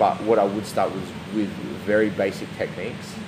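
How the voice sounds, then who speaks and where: With an Australian accent, a man speaks at a fairly quick pace in a fairly low, flat, monotone voice, with audible room echo and noticeable background noise. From South Australia, Adelaide. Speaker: jiu jitsu athlete and coach. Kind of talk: interview. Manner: casual.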